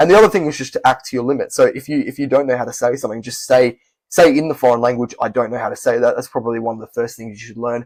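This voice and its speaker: A man with an Australian accent, medium-pitched, at a very fast pace with hardly any pauses, ordinary pitch variation and big swings in loudness. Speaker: language-learning youtuber. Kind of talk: casual vlog talk. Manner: conversational with fillers.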